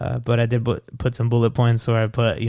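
A man with an American accent speaks at a medium pitch. The recording is very clean, with a silent background. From El Paso, Texas. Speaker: podcast guest. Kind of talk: casual chat.

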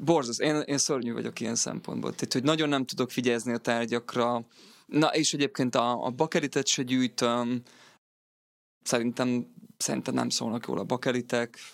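Ordinary pitch variation at a moderate speed, very clean recording, silent background. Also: man, medium pitch for a man. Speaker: guitarist and songwriter. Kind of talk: casual interview.

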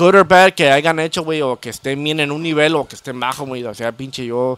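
A man speaks with a plain, everyday voice, fairly high in pitch. His pace is moderate and his pitch variation ordinary. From Chicago North Side. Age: 30s. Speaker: banda musician. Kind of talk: casual chat.

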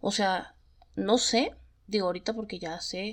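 This woman talks at a fairly slow pace in a fairly high pitch. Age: 30s. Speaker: podcast host. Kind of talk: casual storytelling monologue.

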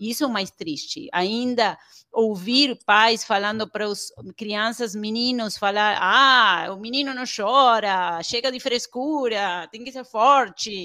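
A woman speaks at a very slow pace in an Argentine accent, her pitch fairly high. Her tone is bright and sharp, with big swings in loudness. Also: ordinary pitch variation, very clean recording, silent background. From Argentina. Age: 40s. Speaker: pediatrician and parenting educator. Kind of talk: interview.

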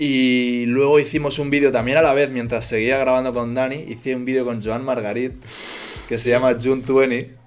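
Audible room echo and noticeable background noise surround the audio. A man talks at a moderate speed. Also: medium pitch for a man. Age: 20s. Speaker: influencer and entrepreneur. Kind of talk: casual chat. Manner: animated.

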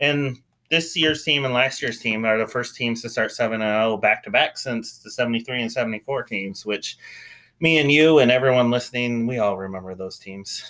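A man with a normal speaking voice talks at a moderate pace and medium pitch, with ordinary pitch variation, in a very clean recording with a silent background. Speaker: college football podcast host. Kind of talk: casual sports talk recap and analysis.

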